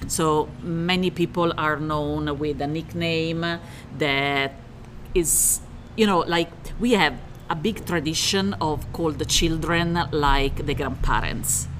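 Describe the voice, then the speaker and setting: Over noticeable background noise, a woman with an Italian accent and a very deep, low pitch speaks at a very slow pace with ordinary pitch variation. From Italy, Rome. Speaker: interior remodeler. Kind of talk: casual interview chat.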